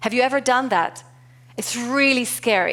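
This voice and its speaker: A woman speaks with a non-native accent. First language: not English. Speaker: keynote speaker, corporate culture and leadership executive. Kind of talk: conference keynote talk.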